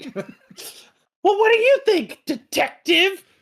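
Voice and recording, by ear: Growling in a put-on character voice, the speaker goes at a fairly slow pace with an extremely high pitch.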